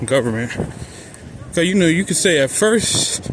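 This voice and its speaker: A man speaks at a moderate pace and a fairly high pitch over noticeable background noise. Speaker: vlogger. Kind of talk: walking vlog monologue. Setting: outdoors, walking in the street.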